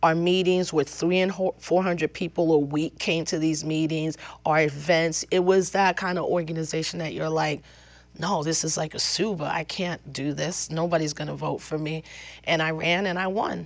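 A woman speaks at a fairly low pitch and a moderate pace, her intonation monotone and flat. The background is quiet. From New York, the Bronx and Westchester County, Puerto Rican family; New York. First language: Spanish. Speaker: activist; interviewee. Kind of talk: interview. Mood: reflective, storytelling. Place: studio.

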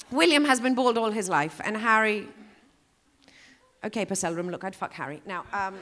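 Bright, sharp tone and lively intonation at a moderate pace, broken by long, frequent pauses. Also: woman, medium pitch for a woman. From Greece. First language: Greek. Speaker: comedian. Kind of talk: stand-up. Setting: stage with audience. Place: stage. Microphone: handheld.

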